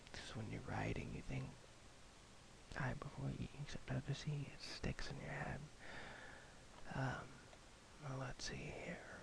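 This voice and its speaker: Whispering from a man at a fairly slow pace, with long, frequent pauses and noticeable background noise. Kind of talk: casual talk to camera. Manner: slow, rambling, soft-spoken.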